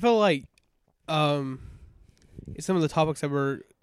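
A man with a Southern US accent at a moderate pace. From US South. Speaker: podcast co-host. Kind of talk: casual chat.

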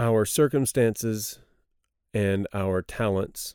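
In a dark, mellow tone with a Texan accent, the speaker uses ordinary pitch variation in a very clean recording with a silent background. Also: man. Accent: Texan American English. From Texas. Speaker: missionary. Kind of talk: Bible study discussion. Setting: studio.

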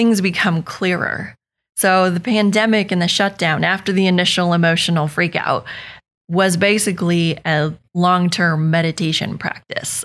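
Fairly even intonation at a moderate pace with an American accent, very even loudness, and a very clean recording over a silent background. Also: woman, fairly low pitch for a woman. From Northern California. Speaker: Pilates studio owner and movement specialist. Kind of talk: podcast interview.

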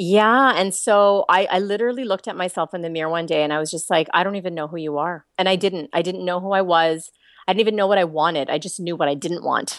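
With a slight Canadian accent, a woman speaks at a very fast pace with hardly any pauses. Her fairly low pitch shows ordinary variation, and the background is quiet. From Toronto, Canada. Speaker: author and life coach. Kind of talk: casual interview chat.

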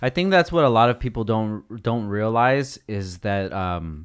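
In a very clean recording with a silent background, a man with a normal speaking voice talks at a fairly low pitch and a fairly slow pace. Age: 30s. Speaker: podcast host. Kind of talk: casual chat. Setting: studio.

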